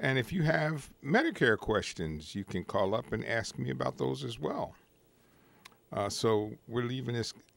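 With vocal fry and very wide pitch swings, a man speaks at a fairly slow pace in a dry recording with no echo. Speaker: call-in show host. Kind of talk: talk show monologue. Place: studio. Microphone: studio mic.

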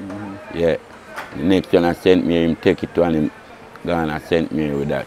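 A man speaks with a very deep, low pitch and fairly even intonation, leaving long, frequent pauses. The sound is dry with no echo, and faint music plays in the background. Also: moderate pace. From Jamaica. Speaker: racehorse groom. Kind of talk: interview. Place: open country. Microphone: lapel.

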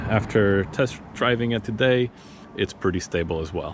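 Recorded dry with no echo, a man speaks over noticeable background noise. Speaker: vlogger reviewing gear. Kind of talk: casual vlog chat. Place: street. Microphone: phone near.

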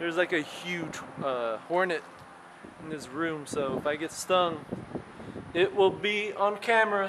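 Noticeable background noise sits behind a man speaking fairly slowly. His pitch is high, with ordinary variation. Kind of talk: casual exploration commentary. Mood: nervous, wary of hornets. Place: empty room. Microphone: phone near.

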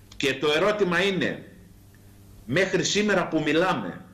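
With audible room echo, a man speaks at a fairly slow pace in a high pitch with ordinary pitch variation. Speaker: politician, remote guest. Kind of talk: interview answer. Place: home room. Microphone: video call.

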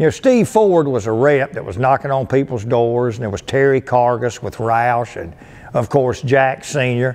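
A man's medium-pitched voice with lively intonation at a fairly slow pace. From US South, North Carolina (Lowell); North Carolina. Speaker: car dealership performance manager. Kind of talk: casual storytelling to camera. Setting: museum. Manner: animated. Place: hall.

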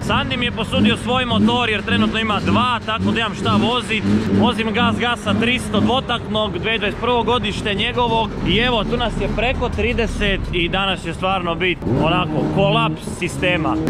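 Through loud background noise, a man talks at a moderate pace in a dry sound with no echo. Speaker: motorbike vlogger. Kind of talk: casual vlog chat. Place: street. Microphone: phone near.

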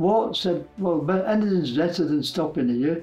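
A man with a fairly high pitch and ordinary pitch variation, at a moderate pace, with faint music in the background. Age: 80s+. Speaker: war veteran. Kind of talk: interview answer. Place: home room.

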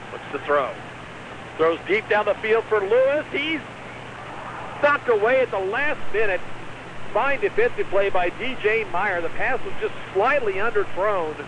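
Against noticeable background noise, a man with a high pitch speaks at a fairly slow pace, using lively intonation and long, frequent pauses. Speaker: radio sports play-by-play announcer. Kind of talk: live radio play-by-play commentary of a high school football game. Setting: stadium press box, radio broadcast.

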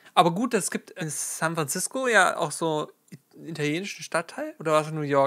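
A man's voice comes through with a bright, sharp tone. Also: quiet background. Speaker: streamer. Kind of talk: casual reaction commentary. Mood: amused, relaxed. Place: home room.

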